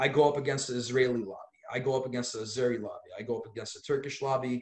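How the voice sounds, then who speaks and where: A man speaks at a medium pitch with an American accent. His voice is somewhat breathy. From Los Angeles, US. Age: 30s. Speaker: lawyer and activist. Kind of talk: podcast interview. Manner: animated.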